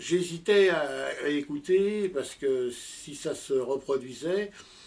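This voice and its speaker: This is a man's voice. His pitch sits fairly high. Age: 60s. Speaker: amateur audio enthusiast and inventor. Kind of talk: interview. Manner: halting, many hesitations.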